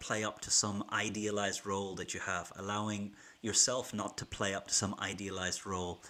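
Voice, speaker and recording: An Irish accent comes through in a bright, sharp tone on a very clean recording with a silent background. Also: man. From Ireland. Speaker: keynote speaker and business school teacher. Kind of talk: livestream talk to viewers. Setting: YouTube livestream from home.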